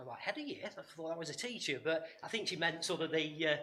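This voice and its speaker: A man with an East Midlands accent at a very fast pace, with audible room echo. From English East Midlands, Nottinghamshire. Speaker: workshop speaker. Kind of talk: conference talk. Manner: hesitant, many fillers and repetitions.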